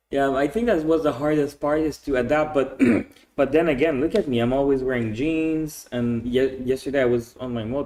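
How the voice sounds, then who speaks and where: A man speaks in a Quebec accent. His pitch variation is ordinary. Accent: French Canadian accent in English. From Quebec, Canada. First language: French. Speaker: expat entrepreneur. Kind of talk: podcast interview. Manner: casual, with many repetitions.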